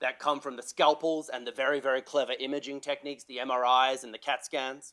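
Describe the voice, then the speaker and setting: Speaking very fast, a man with a fairly high pitch talks in an Australian accent. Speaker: health sector climate policy expert, panellist. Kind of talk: panel talk. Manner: animated.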